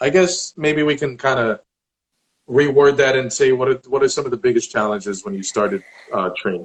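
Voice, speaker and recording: Speaking at a moderate pace, a man with an American accent has a fairly high pitch. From New Jersey (Elizabeth). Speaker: online interviewer. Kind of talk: casual interview. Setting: Instagram live video.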